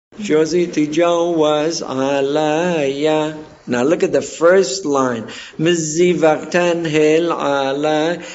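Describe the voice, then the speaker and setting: Speaking at a very slow pace, a man with a fairly high pitch keeps his intonation fairly even amid audible room echo. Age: 60s. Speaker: community elder and cantor. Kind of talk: oral history interview. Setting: community center. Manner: halting.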